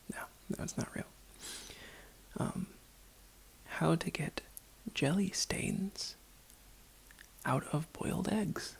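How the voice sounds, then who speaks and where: Whispering comes from a woman. Her fairly slow delivery is broken by long, frequent pauses. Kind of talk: ASMR roleplay, casual talk to camera. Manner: soft-spoken, whispering.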